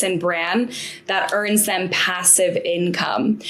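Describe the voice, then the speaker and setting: Someone with an American accent speaks at a very slow pace with ordinary pitch variation. Room echo is audible, and background noise is noticeable. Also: woman. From United States. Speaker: business coach and consultant. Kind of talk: interview.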